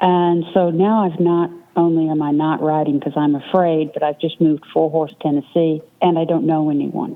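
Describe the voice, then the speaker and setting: Her voice has a very deep, low pitch and a monotone, flat intonation. This woman keeps a moderate pace and very even loudness. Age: 60s. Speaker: author and endurance rider. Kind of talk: interview.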